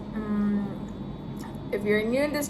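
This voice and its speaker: A woman with a Thai accent speaks fairly slowly in a fairly high voice with fairly even intonation, amid noticeable background noise and audible room echo. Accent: sounds Thai, by own account. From Philippines. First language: Filipino (Tagalog). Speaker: travel vlogger. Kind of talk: casual vlog chat. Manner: halting.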